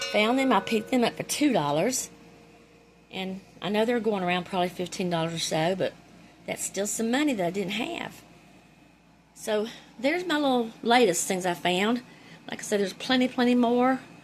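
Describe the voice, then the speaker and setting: Speaking at a moderate pace in a Carolinas accent, the voice has lively intonation and long, frequent pauses. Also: woman, fairly high pitch for a woman. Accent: Southern US (Carolinas). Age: 60s. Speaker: thrift reseller, YouTuber. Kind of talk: casual haul show-and-tell. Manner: animated.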